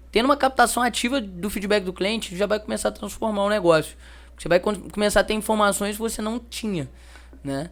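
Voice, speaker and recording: Speaking with a Minas Gerais accent at a fairly quick pace, a man uses a high pitch and ordinary pitch variation. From Minas Gerais, Brazil (Juiz de Fora). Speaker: customer feedback company representative. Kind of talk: interview. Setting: event interview.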